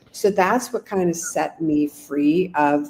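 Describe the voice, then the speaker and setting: The voice carries vocal fry and a dark, mellow tone. It moves at a fairly slow pace. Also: woman. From Canada. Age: 60s. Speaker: business coach and author. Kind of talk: podcast interview. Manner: animated.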